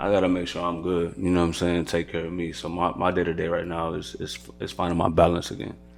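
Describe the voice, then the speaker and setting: Audible room echo surrounds a very fast, monotone delivery with flat intonation and hardly any pauses. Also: man, very deep, low pitch for a man. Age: 30s. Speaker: entrepreneur, podcast host. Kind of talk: casual chat.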